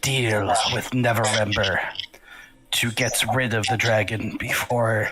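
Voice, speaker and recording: A man speaks in a put-on character voice at medium pitch. His pace is fairly slow. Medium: actual play. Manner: dry, detached.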